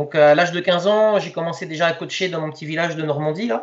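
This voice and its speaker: Speaking at a moderate pace, a man uses a fairly high pitch that varies in an ordinary way. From Lower Normandy, France. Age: 40s. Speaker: youth football coach. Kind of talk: interview. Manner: halting, many fillers and repetitions.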